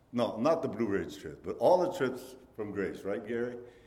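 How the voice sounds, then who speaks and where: A man speaks with a Portuguese accent, his pitch swinging very widely. Audible room echo surrounds his voice. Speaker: missionary pastor. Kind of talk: sermon.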